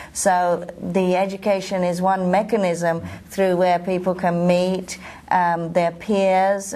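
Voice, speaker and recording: A woman speaks at a fairly slow pace with a London accent, her pitch fairly low. Her intonation is flat and monotone, and the room echo is audible. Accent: British English (London). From London, England. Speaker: professional association president, osteopath. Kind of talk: interview. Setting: at a convention.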